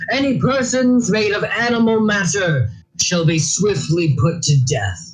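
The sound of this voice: A man uses a put-on character voice at a fairly slow pace, with audible echo.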